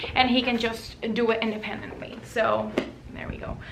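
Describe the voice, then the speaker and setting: At a moderate pace, a woman with a high pitch speaks amid audible room echo and noticeable background noise. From Puerto Rico. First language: Spanish. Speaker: lifestyle and parenting vlogger. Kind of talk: casual tutorial.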